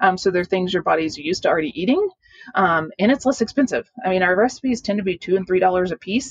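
A normal speaking voice at a fairly quick pace, with lively intonation and a dry, close sound with no echo. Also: woman. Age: 40s. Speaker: dietitian and long distance backpacker. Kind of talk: interview.

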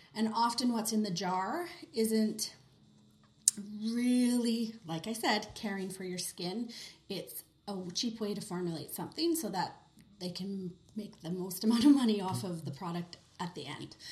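The voice is somewhat breathy, with lively intonation. It moves at a fairly slow pace with long, frequent pauses. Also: woman, medium pitch for a woman. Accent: Canadian. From Western Canada (Kelowna, British Columbia). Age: 30s. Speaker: skincare specialist. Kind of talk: casual interview.

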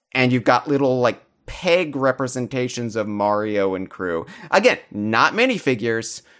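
An ordinary speaking voice moves at a moderate pace. The intonation is lively. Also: man, medium pitch for a man, very clean recording, silent background. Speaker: podcast host. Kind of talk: casual chat. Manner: joking, rambling.

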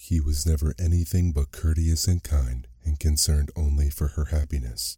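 A man speaks with a very deep, low pitch and hardly any pauses. His tone is dark, mellow, soothing and gentle, and somewhat breathy. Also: fairly even intonation, very even loudness. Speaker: podcast host and narrator. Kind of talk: bedtime story narration. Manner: slow, soothing, gentle pacing; warm, storyteller's expressiveness with mild character voices.

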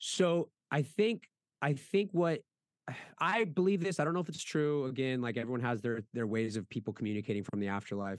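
Speaking at a fairly quick pace with very wide pitch swings, a man talks with an American accent. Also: medium pitch for a man, dry, close sound with no echo. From Las Vegas, Nevada. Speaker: artist and brand owner. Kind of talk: casual chat. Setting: video call from his studio. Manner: animated.

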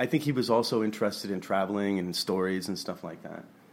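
Fairly low male voice with an American accent, a normal speaking voice, at a fairly quick pace. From grew up abroad in Southeast Asia (Taiwan, Hong Kong), American family. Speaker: artist and gallery curator. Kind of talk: casual chat. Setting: studio.

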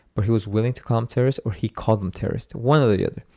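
A man's dark, mellow voice at medium pitch, very fast with ordinary pitch variation, dry and close with no echo, on a very clean recording with a silent background. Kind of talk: casual chat. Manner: loud.

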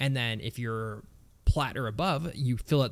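A man talks at medium pitch with an ordinary speaking voice, a moderate pace and ordinary pitch variation. The recording is very clean, with a silent background. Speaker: gaming podcast co-host. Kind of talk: casual chat.

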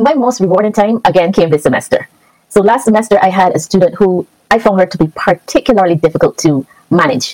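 At a very fast pace, a woman in a Barbadian accent talks with a medium pitch and lively intonation, in a dry, close sound with no echo. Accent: Barbadian Caribbean. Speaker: teacher. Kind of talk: casual interview.

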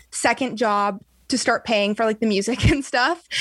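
In a very clean recording with a silent background, a woman with an American accent and an unremarkable speaking voice talks at a moderate pace and a fairly high pitch. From US West Coast, San Diego area. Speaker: singer. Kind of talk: casual interview.

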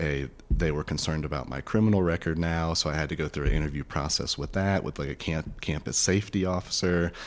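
With an American accent, a man rattles along at a very fast pace with hardly any pauses, his pitch very deep and low. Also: ordinary pitch variation. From US South, rural northwest Florida. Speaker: therapist. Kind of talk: interview.

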